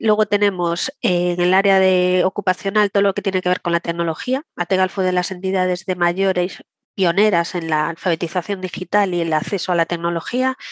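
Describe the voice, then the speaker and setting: A woman talks at a fairly quick pace in an ordinary speaking voice, her pitch medium. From Galicia, Santiago de Compostela. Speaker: director of a senior education association. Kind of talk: interview.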